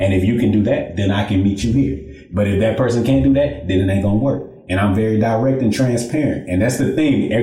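Over noticeable background noise, the speaker moves at a fairly quick pace with lively intonation, hardly any pauses and very even loudness. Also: man, fairly low pitch for a man. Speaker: podcast co-host. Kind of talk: casual chat.

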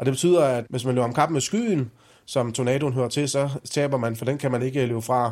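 Fairly even intonation and a moderate pace from a man with a plain, everyday voice, his pitch medium. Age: 40s. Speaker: meteorologist. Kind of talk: explanatory interview for children.

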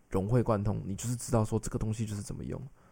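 The recording is very clean with a silent background. On it, a man talks very fast. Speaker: translator and podcast co-host. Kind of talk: casual chat.

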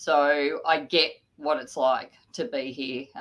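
A woman talks with an Australian accent. Her pitch is very deep and low. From Sydney area, New South Wales, Australia. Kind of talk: interview. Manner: hesitant, many fillers.

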